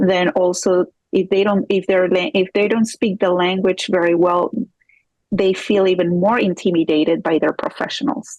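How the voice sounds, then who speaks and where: The speaker has a Spanish accent and a moderate pace, with ordinary pitch variation. The loudness stays very even, and the sound is dry and close with no echo. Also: woman, medium pitch for a woman. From Peru. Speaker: divorce coach and forensic accountant. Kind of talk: interview.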